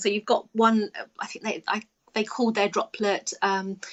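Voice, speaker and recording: A woman speaks with an English accent. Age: 50s. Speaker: children's author. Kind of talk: casual chat. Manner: halting.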